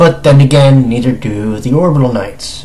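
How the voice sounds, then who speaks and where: Over noticeable background noise, a man speaks with a fairly high pitch and lively intonation. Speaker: anime reviewer. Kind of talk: casual review talk to camera.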